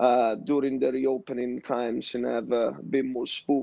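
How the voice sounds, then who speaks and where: Speaking at a moderate pace in an Italian accent, a man has a dark, mellow tone, medium pitch and flat, monotone intonation, recorded dry and close with no echo. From Italy. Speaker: tech startup founder, ex-professional basketball player. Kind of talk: panel discussion.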